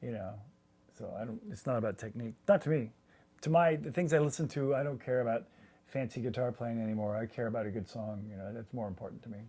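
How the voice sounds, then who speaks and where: Very fast and with big swings in loudness, a man speaks in a dark, mellow tone at a medium pitch with ordinary pitch variation. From US South (Alabama and Georgia). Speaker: guitarist. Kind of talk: interview. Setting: at home.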